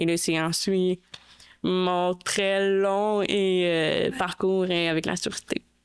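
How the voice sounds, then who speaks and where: At a very slow pace, a woman speaks at medium pitch in a monotone, flat intonation with very even loudness. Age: 30s. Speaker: guest with hearing loss. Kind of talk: testimony in podcast interview.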